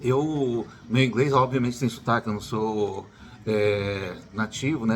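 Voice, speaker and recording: Man with an unremarkable speaking voice, medium pitch and fairly even intonation. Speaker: YouTuber, educator. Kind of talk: casual vlog advice.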